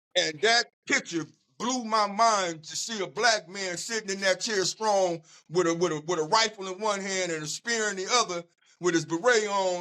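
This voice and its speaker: A man with an American accent uses a raised, projected voice at a high pitch, his animated tone bright and sharp, moving at a moderate pace. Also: ordinary pitch variation. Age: 60s. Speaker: community activist. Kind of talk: casual interview. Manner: animated storytelling with repetitions.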